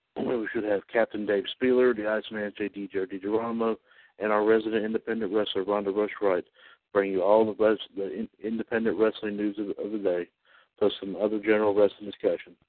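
In a normal speaking voice, this man moves along at a fairly quick pace. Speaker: radio announcer. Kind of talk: radio station announcement, read as a formal, scripted broadcast bulletin. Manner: formal, measured, professional announcer cadence with slight stumbles and fillers; upbeat sign-off and rattling off the weekly schedule.

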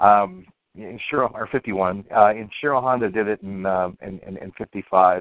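A man mumbles in an American accent. His pitch sits fairly low. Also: fairly even intonation, moderate pace. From US, upper Ohio Valley. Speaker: illustrator. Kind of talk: casual chat. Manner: mumbles, hesitant with fillers.

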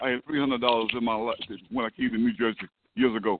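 Here a man talks at a very fast pace. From US South. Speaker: reverend. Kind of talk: call-in testimony, preaching style.

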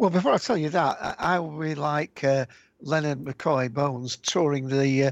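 With a British accent, a man talks at a fairly slow pace in a fairly high pitch and fairly even intonation, in a dry, close sound with no echo against a quiet background. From UK. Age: old. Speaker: podcast co-creator. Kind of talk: casual interview. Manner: halting, many fillers.

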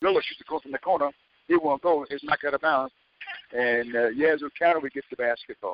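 Fairly quick and fairly even in intonation, a man talks in an ordinary speaking voice at a fairly high pitch. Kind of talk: live sports commentary.

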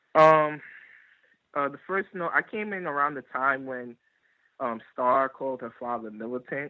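A man talks at a moderate pace. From Bronx, New York City. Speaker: caller. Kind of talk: call-in discussion. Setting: phone call.

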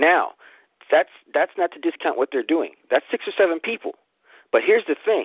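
Long, frequent pauses break up this man's speech. His pace is moderate. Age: 50s. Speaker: caller. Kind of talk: testimony. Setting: phone call. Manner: animated.

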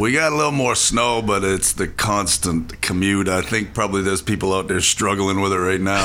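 Against noticeable background noise, a man talks fairly quickly in a fairly low voice with very even loudness and ordinary pitch variation. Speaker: soul singer and bandleader, radio studio guest. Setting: radio studio interview. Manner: laughs often, relaxed and enthusiastic.

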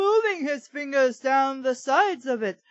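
In a put-on character voice, the speaker uses a high pitch and a dramatic tone at a moderate pace.

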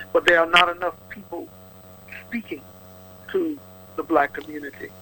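Noticeable background noise runs under the clip. A man speaks at a moderate pace. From Louisiana. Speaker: politician. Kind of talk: radio interview. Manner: animated.

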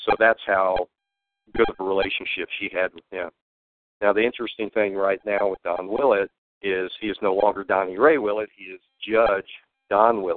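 With a Texan accent, a man speaks at a moderate pace with a fairly low pitch, fairly even intonation, big swings in loudness, and long, frequent pauses. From Texas. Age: 60s. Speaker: whistleblower. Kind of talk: interview. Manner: halting.

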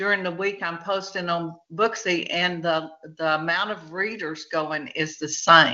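Speaking at a fairly slow pace with a Texan accent, a woman keeps a fairly low pitch and fairly even intonation. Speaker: author. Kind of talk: casual chat.

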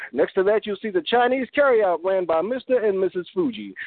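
A man's high-pitched voice, animated and energetic in tone, at a moderate pace. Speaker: spoken word poet. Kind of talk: spoken word poetry and interview. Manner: animated, energetic.

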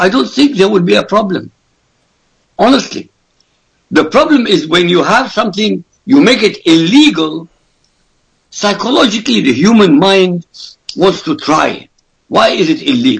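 A high-pitched man with an Arabic accent, very wide pitch swings, and long, frequent pauses. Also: moderate pace, very even loudness. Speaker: author and political commentator. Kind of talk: radio interview. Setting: Skype call. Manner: forceful.

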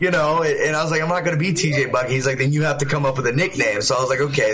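Noticeable background noise sits behind a voice whose pitch varies in an ordinary way. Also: man. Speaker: fighter. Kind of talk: casual interview.

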